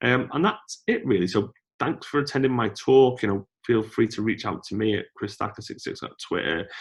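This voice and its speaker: The background is quiet as a man talks at a fairly quick pace. His pitch varies in an ordinary way. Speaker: conference speaker. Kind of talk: talk with Q&A. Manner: fast.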